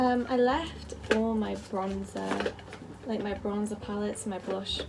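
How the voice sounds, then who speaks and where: A woman with a slight Liverpool accent at a fairly slow pace, with audible room echo and music in the background. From northern England, Merseyside (near Liverpool). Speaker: beauty vlogger. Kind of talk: makeup tutorial. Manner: casual, filler-heavy.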